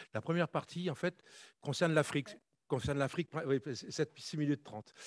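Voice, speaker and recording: Against a quiet background, a man speaks at a fairly high pitch with ordinary pitch variation. The sound is dry and close, with no echo. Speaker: conference panelist, former army officer. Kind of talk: conference talk. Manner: fast.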